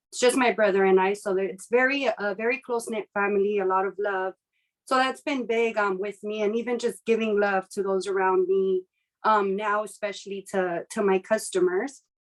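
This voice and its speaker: At a moderate pace, a woman with a medium pitch speaks in a plain, everyday voice, with a dry, close sound and no echo. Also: fairly even intonation. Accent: American. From US West, South Los Angeles. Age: 30s. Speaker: business owner. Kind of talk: interview.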